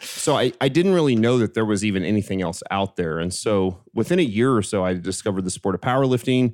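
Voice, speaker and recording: A man with a fairly low pitch and an unremarkable speaking voice talks at a fairly quick pace on a very clean recording with a silent background. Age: 40s. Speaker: strength coach and fitness company executive. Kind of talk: casual chat.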